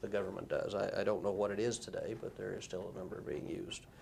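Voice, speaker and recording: A man's voice with audible room echo. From Arkansas, rural. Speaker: former automotive engineer. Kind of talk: deposition testimony. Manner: halting, many fillers.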